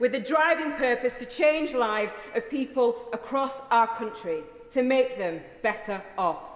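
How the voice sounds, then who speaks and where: Over noticeable background noise, a woman speaks in a Yorkshire accent. Her pitch is high and her intonation lively. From South Yorkshire, England. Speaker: member of parliament. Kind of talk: parliamentary maiden speech.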